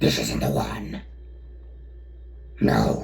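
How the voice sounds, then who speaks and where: A put-on character voice at a very slow pace, over clear background noise. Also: man. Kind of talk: growled monster voice. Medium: read story. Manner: menacing, grim.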